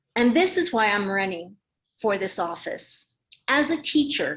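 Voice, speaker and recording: A woman speaks in a fairly high pitch with a Spanish accent. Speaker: political candidate. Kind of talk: campaign speech. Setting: political meeting. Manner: formal.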